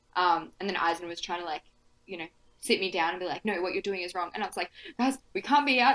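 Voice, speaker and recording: Talking very fast, a woman uses lively intonation at a medium pitch. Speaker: tabletop role-playing podcast guest player. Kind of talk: casual chat. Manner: mumbling.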